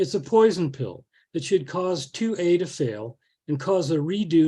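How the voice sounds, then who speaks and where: A man's dark, mellow, somewhat breathy voice with lively intonation at a moderate pace, over a quiet background. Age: 70s. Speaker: botanist speaking against a ballot measure. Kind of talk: public forum presentation.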